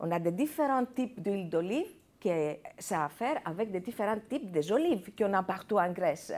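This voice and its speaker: A woman's medium-pitched voice moves in very wide pitch swings as she talks at a moderate pace. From Greece. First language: Greek (speaking French). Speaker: chef and restaurant owner. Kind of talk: TV interview. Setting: TV studio. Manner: halting, many hesitations.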